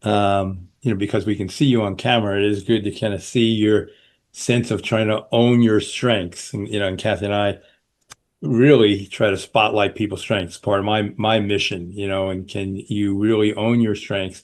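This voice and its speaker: Against a quiet background, a man with a fairly low pitch speaks at a moderate pace in a flat monotone. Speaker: podcast host. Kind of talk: interview.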